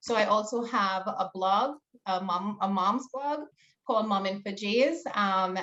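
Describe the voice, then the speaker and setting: A bright, sharp tone with a Trinidadian accent. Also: woman. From Trinidad and Tobago. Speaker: small business owner and teacher. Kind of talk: panel discussion.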